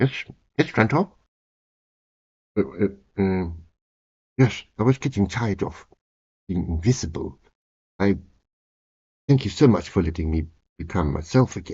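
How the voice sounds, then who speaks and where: A man's put-on character voice, fairly low in pitch and strained, with lively intonation, a moderate pace and long, frequent pauses. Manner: grateful, theatrical.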